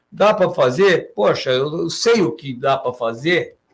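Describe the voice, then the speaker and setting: Pitched high, this man's voice swings very widely up and down. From Santos, Brazil. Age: 80s+. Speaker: mayoral candidate and businessman. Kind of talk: interview answer. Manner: hesitant, halting.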